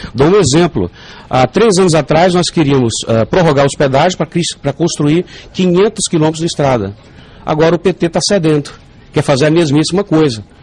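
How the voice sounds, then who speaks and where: Over noticeable background noise, a man with a fairly high pitch and ordinary pitch variation talks at a fairly quick pace with very even loudness. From Northeast Brazil, João Pessoa. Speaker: politician and professor. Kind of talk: radio interview. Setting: radio studio. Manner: animated.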